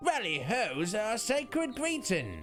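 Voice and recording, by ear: Over clear background music, a man does a put-on character voice, high-pitched and at a fairly slow pace.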